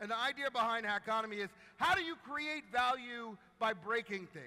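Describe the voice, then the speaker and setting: Amid noticeable background noise, a man speaks in a raised, projected voice at an extremely high pitch, with an animated tone and lively intonation. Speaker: marketing executive and keynote speaker. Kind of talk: keynote talk. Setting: stage with audience and live translation. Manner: fast.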